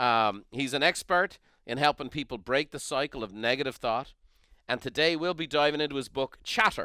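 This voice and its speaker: Speaking at a moderate pace with an Irish accent, a man uses a fairly high pitch, ordinary pitch variation and a bright, sharp tone, in a very clean, dry, close recording with no echo and a silent background. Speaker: podcast host. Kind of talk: interview.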